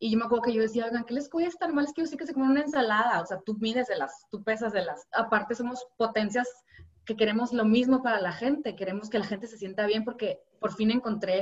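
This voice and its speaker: A woman speaks very fast at a fairly high pitch, and her pitch varies in an ordinary way. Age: 30s. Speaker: health coach. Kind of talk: interview conversation. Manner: animated.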